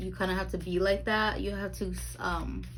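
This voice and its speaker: A woman speaks at a fairly slow pace, with audible room echo in the recording. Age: 20s. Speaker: tarot reader. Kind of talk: tarot reading monologue. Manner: halting, stumbling over words.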